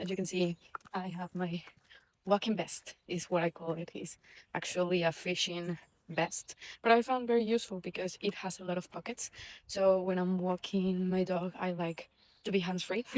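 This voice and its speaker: A woman at a medium pitch with a non-native accent, fairly even intonation and a moderate pace. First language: not English. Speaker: vlogger, former engineer. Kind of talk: casual vlog monologue. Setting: outdoors walking the dog. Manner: hesitant, many fillers and restarts.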